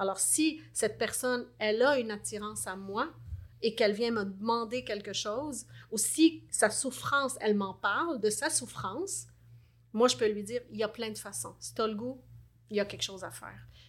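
A woman with a fairly high voice and vocal fry talks at a moderate pace, with ordinary pitch variation and big swings in loudness, on a very clean recording with a silent background. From Lebanon. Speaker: life coach. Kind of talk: interview.

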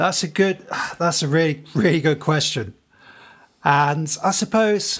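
A man's somewhat breathy voice unfolds at a fairly slow pace. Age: 30s. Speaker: teacher and podcast co-host. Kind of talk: casual chat.

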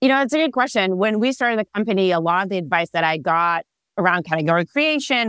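A woman with an Israeli accent, very fast, lively in intonation and medium in pitch, on a very clean recording with a silent background. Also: dry, close sound with no echo. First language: Hebrew. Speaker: startup founder and CEO. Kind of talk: casual interview.

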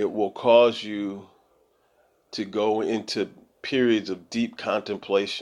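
The speech comes at a very slow pace, with long, frequent pauses and monotone, flat intonation. The recording is very clean, with a silent background. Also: man, fairly low pitch for a man. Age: 50s. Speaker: podcast host, Bible teacher. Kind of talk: solo monologue on the Bible. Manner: hesitant, many filler words.

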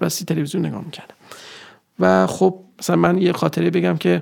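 A man races through his words, his pitch leaping very widely, with noticeable noise in the background. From Iran, Nishapur (Khorasan). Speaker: structural engineering manager. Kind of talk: interview.

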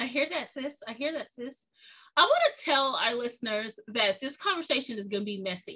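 Using a raised, projected voice, a woman with a high pitch talks at a fairly quick pace, with lively intonation and big swings in loudness. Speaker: podcast host. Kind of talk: casual conversation interview. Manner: animated.

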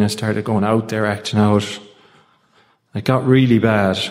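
This man speaks in an Irish accent. His pitch is fairly low. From Ireland. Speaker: recovery group speaker. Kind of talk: testimony.

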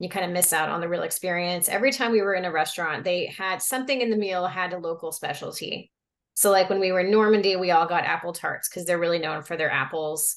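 A woman talks in an ordinary speaking voice with an American accent, at medium pitch with ordinary pitch variation. She barely pauses, and the background is quiet. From Oklahoma. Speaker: French teacher. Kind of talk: casual conversation.

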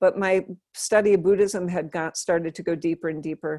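A woman with an American accent, medium in pitch, fairly even in intonation, at a moderate pace against a quiet background. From Western Massachusetts, US. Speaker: Buddhist nun. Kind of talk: casual chat. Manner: stream of consciousness.

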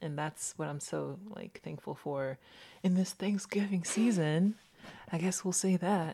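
Speaking at a fairly slow pace, a woman with a slight Southern US accent has a fairly low pitch and a dark, mellow tone. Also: ordinary pitch variation. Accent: general American, little Southern. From US South. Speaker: podcast co-host and scientist. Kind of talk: casual chat. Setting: video call.

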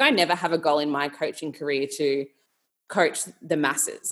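With an Australian accent, this voice shows ordinary variation in pitch. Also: woman. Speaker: nutrition coach. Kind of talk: casual chat.

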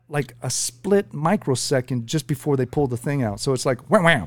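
A man talks at a moderate pace in a normal speaking voice. His pitch is fairly high, with ordinary variation. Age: 50s. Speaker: prostate cancer survivor. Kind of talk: casual chat. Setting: studio.

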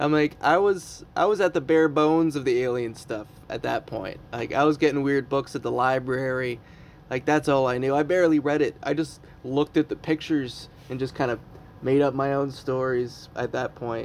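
Using an unremarkable speaking voice, the man keeps to a moderate pace, his pitch varying in an ordinary way. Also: fairly high pitch for a man. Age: 30s. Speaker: podcast host and comedian. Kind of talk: casual chat. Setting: home basement.

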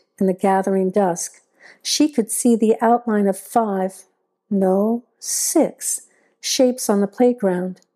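A quiet background beneath plain reading aloud

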